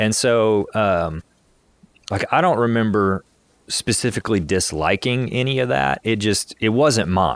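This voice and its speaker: A man's unremarkable speaking voice, fairly low in pitch, with lively intonation, very even loudness and a fairly slow pace. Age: 30s. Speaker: podcast co-host. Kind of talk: casual chat.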